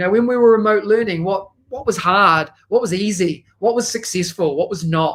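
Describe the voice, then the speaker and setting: With a New Zealand accent, a man speaks at a high pitch. His pace is moderate and his pitch variation ordinary. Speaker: educational technology consultant. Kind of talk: conference presentation.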